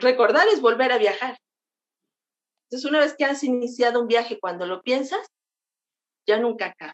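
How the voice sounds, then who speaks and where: A woman with a high voice talks at a fairly quick pace, leaving long, frequent pauses. The sound is dry and close, with no echo. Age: 50s. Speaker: travel blogger. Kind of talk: interview.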